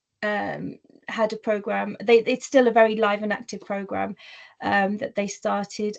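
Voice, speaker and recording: Speaking at a moderate pace, a woman has a fairly high pitch. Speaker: workplace diversity speaker. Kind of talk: webinar presentation. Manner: occasional word stumbles and fillers.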